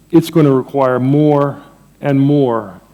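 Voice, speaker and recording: A man with an American accent speaks at a fairly high pitch. His tone is dark and mellow, with fairly even intonation. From Jamaica, Saint Mary. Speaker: economics professor. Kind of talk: conference lecture. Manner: conversational, with fillers.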